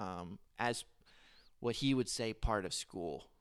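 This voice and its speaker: A fairly low-pitched man with an American accent on a very clean recording with a silent background. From North Carolina (Charlotte). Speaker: software developer. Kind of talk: casual interview. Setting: living room, shared handheld mic. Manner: hesitant, many fillers.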